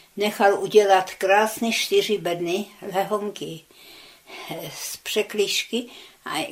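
The intonation is fairly even, and noticeable background noise can be heard. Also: woman. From Czechia, Česká Třebová; childhood in Soviet Union. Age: 90s. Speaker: war veteran, eyewitness. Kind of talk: oral history interview. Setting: her flat.

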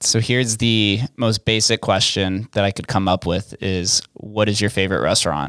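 A man with a plain, everyday voice and an American accent talks at a moderate pace with hardly any pauses, fairly low pitch and fairly even intonation. The recording is very clean, with a silent background. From Las Vegas, US. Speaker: podcast host. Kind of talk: interview. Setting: studio.

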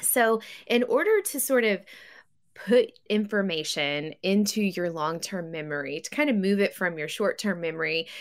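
A woman with a plain, everyday voice speaks in an American accent at a moderate pace and medium pitch. Her intonation is lively, and the recording is very clean with a silent background. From US South, West Tennessee. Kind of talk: radio interview.

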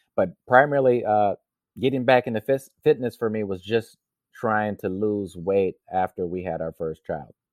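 Speaking at a moderate pace, a man with an American accent has a plain, everyday voice, fairly low pitch and ordinary pitch variation. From US Midwest, Racine, Wisconsin. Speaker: triathlete. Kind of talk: interview.

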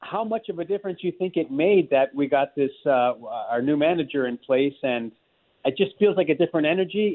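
Speaking at a fairly quick pace, a man with fairly high pitch and lively intonation has an unremarkable speaking voice. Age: 60s. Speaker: caller. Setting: phone call.

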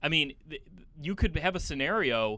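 Over a silent background in a very clean recording, a man with a slight Chicago accent talks in a fairly high, bright, sharp tone with lively intonation. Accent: Midwestern US, Chicago, slight. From Chicago, US Midwest. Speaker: team reporter and podcast host. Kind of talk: casual chat.

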